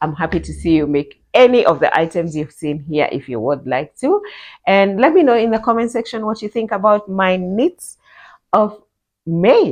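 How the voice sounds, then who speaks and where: Her pitch swinging very widely, a woman speaks at a moderate pace. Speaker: knitting vlogger. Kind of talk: casual vlog talk.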